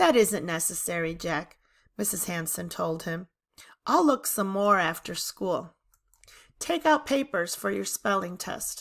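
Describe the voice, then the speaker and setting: A woman puts on a raspy character voice at medium pitch. She speaks at a fairly slow pace. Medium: read story.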